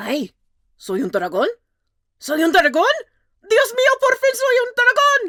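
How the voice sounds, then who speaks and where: This is a put-on character voice. The pitch is extremely high. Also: moderate pace. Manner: excited, joyful.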